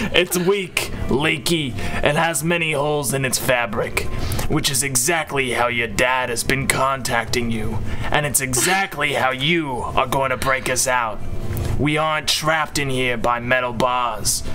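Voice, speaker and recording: A man's put-on character voice at medium pitch and moderate pace, with sound effects and loud noise in the background. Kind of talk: comic overacting in a casual group reading. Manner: crude, impatient, commanding.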